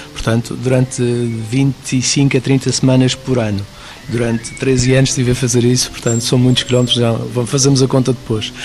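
There is noticeable background noise as a man of medium pitch speaks at a moderate pace in a monotone, flat intonation with very even loudness. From Madeira, Portugal (Prazeres, west of the island). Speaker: mountain guide and tour driver. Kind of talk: radio interview.

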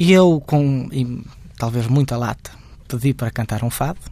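Ordinary pitch variation from a man, his voice fairly high. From Portugal, Guimarães. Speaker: fado singer. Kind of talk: interview. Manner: halting.

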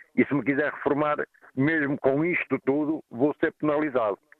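The man's pitch is fairly high, and he talks at a moderate pace. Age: 50s. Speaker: caller, truck driver. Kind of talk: radio phone-in. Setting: phone call while traveling.

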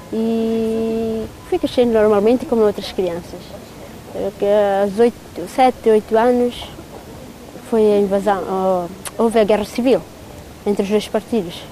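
Over noticeable background noise, a woman speaks very slowly with long, frequent pauses, a fairly high pitch and fairly even intonation. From East Timor (Dili). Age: 30s. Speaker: dancer in a Timorese folk dance group. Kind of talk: interview testimony.

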